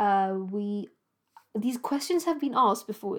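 A woman with a British accent talks at a moderate pace in a fairly high pitch. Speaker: doctor and podcast host. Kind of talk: monologue podcast, personal storytelling. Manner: emphatic and urgent, indignant; conversational, with frequent filler words and self-corrections.

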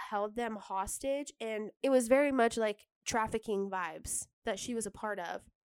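A woman's normal speaking voice, fairly high in pitch with ordinary pitch variation, at a fairly slow pace, in a dry, close sound with no echo. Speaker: podcast co-host. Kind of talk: casual chat.

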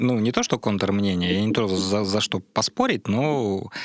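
A man talks at a moderate pace in a normal speaking voice, the sound dry and close with no echo. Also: very clean recording, silent background. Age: 30s. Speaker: science popularizer. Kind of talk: casual chat. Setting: studio.

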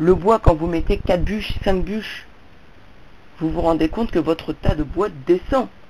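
A woman speaks at a fairly slow pace, with long, frequent pauses. Her tone is dark and mellow, her pitch fairly low, and her pitch variation ordinary. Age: 40s. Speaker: vlogger. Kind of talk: monologue to camera.

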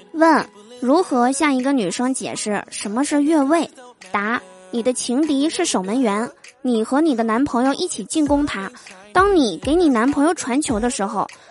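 A woman's high-pitched voice at a moderate pace, lively in intonation, over noticeable background noise. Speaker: podcast host, comedian. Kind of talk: comedic monologue. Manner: animated.

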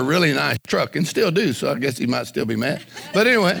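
This man has an American accent and an animated tone. His pitch swings very widely over noticeable background noise. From US small town. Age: 60s. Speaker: evangelist preacher. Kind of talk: sermon. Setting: church.

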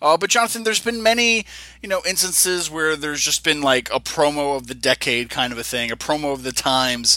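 Against noticeable background noise, a man's fairly high voice swings very widely in pitch. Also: fairly quick pace. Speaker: wrestling podcast co-host. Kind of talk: casual chat. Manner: hesitant, filler-heavy.

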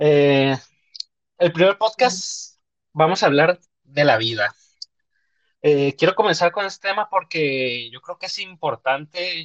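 A man's fairly high voice moves at a very slow pace with long, frequent pauses. His intonation is lively, his loudness swings widely, and the sound is dry and close with no echo. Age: 20s. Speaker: podcast host. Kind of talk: casual chat. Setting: live online stream.

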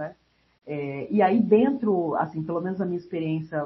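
A woman talks in a somewhat breathy voice whose pitch varies in an ordinary way. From Brasília, Brazil. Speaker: geographer, researcher. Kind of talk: casual interview.

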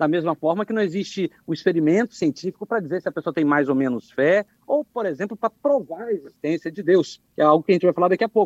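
A man talks at a very fast pace with hardly any pauses, his pitch high and his intonation lively. The background is quiet. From Espírito Santo, Brazil (south of the state). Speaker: philosophy professor. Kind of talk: radio commentary.

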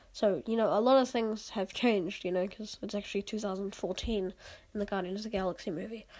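A woman's slightly mellow voice at a medium pitch, with fairly even intonation. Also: fairly quick pace.

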